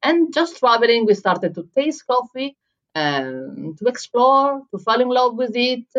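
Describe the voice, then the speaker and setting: With an Italian accent, a woman speaks at a high pitch and a fairly slow pace. Her intonation is lively. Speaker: head barista and coffee writer. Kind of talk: interview.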